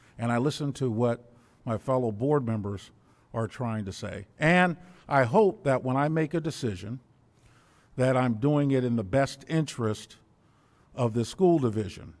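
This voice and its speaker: At a medium pitch and moderate pace, a man with an American accent speaks with ordinary pitch variation and long, frequent pauses. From US South. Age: 60s. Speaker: school board member. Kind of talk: public meeting remarks. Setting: school board meeting. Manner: formal.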